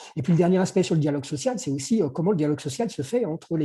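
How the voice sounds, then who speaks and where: This man talks in a fairly high pitch. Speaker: workplace conditions consultant. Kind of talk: webinar presentation. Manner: fast; halting.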